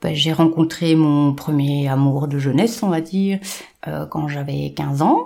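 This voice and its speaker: At a very slow pace, a woman speaks in a very deep, low voice with a dark, mellow tone and ordinary pitch variation. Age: 40s. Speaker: domestic violence survivor. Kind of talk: testimony. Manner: halting.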